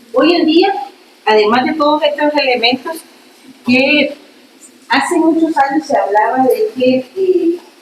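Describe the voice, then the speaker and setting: Through noticeable background noise, a woman speaks at a very slow pace with a high pitch. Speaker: law professor. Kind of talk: lecture. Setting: classroom.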